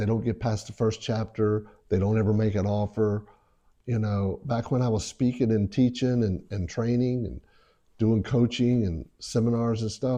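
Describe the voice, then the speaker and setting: Against a quiet background, a man with an American accent talks at a moderate pace with fairly even intonation. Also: medium pitch for a man. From South Carolina. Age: 60s. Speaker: real estate investor. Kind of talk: interview. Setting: at home.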